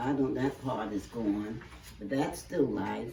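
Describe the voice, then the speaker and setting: Noticeable background noise runs under speech at a fairly slow pace. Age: 80s+. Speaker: elderly congregation member interviewed. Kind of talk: casual interview. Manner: halting.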